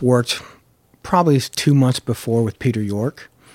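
A man speaks with a Californian accent at a moderate pace and with ordinary pitch variation. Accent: General American (California). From Los Angeles, San Fernando Valley. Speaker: record label general manager. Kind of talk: interview conversation.

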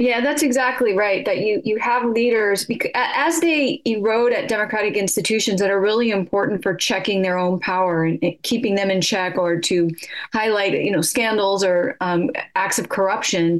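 A woman with an American accent and medium pitch speaks at a moderate pace with ordinary pitch variation and very even loudness over noticeable background noise. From California, US. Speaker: politics professor. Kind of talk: radio interview.

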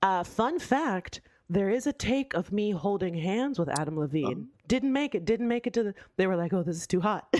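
A woman speaks at a moderate pace in an animated tone, her pitch swinging very widely. The recording is very clean, with a silent background. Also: medium pitch for a woman. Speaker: podcast co-host. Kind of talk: casual chat.

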